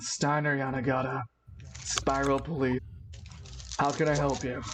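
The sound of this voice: A put-on character voice, low-to-middle in pitch, at a moderate pace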